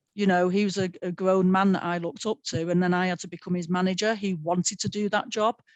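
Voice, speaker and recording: Speaking at a very fast pace with hardly any pauses, a woman uses a medium-pitched voice. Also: fairly even intonation. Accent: strong Manchester. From North Manchester, England. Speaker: sports broadcaster. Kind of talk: panel webinar talk.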